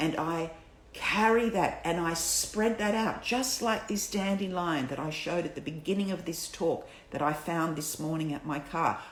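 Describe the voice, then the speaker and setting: With noticeable background noise behind her, a woman speaks at a moderate pace and fairly low pitch, using ordinary pitch variation. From Palestinian Lebanese. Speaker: birth educator. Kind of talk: casual talk to camera.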